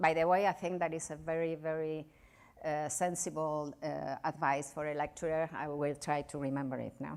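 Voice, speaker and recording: Speaking at a moderate pace with a Spanish accent, a woman with a fairly low pitch is heard on a very clean recording with a silent background. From Spain. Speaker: novelist and journalist. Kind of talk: lecture. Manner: halting.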